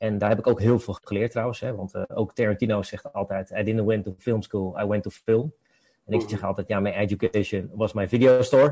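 Against a quiet background, a man speaks fairly quickly in a fairly low, dark, mellow voice that is somewhat breathy, with fairly even intonation and a dry, close sound with no echo. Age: 40s. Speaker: film educator. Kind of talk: casual chat.

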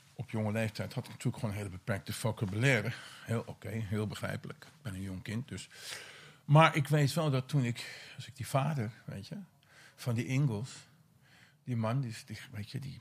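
Somewhat breathy speech at a fairly quick pace has long, frequent pauses, big swings in loudness and ordinary pitch variation, on a very clean recording with a silent background. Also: man, medium pitch for a man. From Netherlands, Vinkeveen. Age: 50s. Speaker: former addict. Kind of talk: casual interview. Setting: portable recorder in a former weed plantation.

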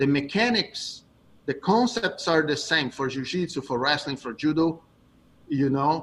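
Speaking at a moderate pace with a Brazilian accent, a man uses lively intonation and a fairly high pitch. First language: Portuguese. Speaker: jiu-jitsu coach. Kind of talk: interview.

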